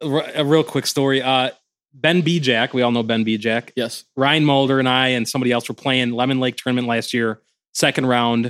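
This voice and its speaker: Over a very clean, silent background, a man with an American accent and an unremarkable speaking voice talks at medium pitch and a moderate pace, with very even loudness and fairly even intonation. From Indiana. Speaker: disc golf community organizer. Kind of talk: casual chat.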